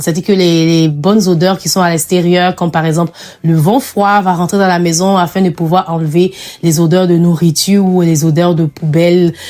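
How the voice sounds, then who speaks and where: This woman's voice is fairly low in pitch, with a dark, mellow tone. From Africa. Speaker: lifestyle vlogger. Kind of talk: clean-with-me vlog narration. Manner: casual, encouraging.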